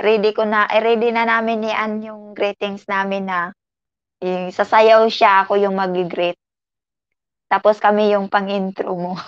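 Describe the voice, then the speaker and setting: A woman talks at medium pitch and a fairly slow pace. Her intonation is monotone and flat. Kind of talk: casual, playful, chatty.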